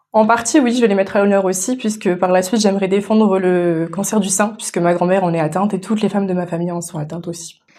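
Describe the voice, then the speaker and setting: A woman's medium-pitched voice at a very fast pace, with fairly even intonation and hardly any pauses. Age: 20s. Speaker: beauty pageant contestant. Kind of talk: radio interview. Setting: radio studio. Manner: hesitant, many fillers.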